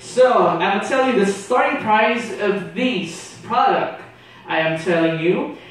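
Strong room echo surrounds a high-pitched man who speaks at a fairly slow pace with ordinary pitch variation. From Philippines. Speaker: exchange student; presenter. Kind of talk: class presentation. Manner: hesitant with many fillers. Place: classroom.

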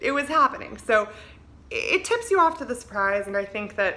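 A woman uses a raised, projected voice at a fairly quick pace. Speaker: vlogger giving advice. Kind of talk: casual vlog chat. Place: home room. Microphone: phone near.

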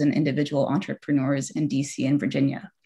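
Against a quiet background, a woman with a very deep, low pitch and vocal fry talks at a very fast pace. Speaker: event moderator. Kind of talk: formal introduction of speakers. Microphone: video call.

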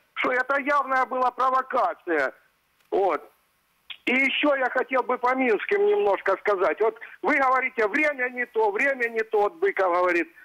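A man projects a raised voice at an extremely high pitch, with a bright, sharp tone and very wide pitch swings. His loudness stays very even against a quiet background. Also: moderate pace. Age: old. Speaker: pensioner caller; caller. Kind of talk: call-in complaint. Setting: phone call. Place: studio. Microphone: lapel.

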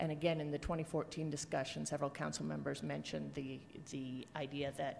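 Against light background noise, a woman talks at a fairly quick pace. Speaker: council presenter. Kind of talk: briefing presentation. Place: hall. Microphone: podium.

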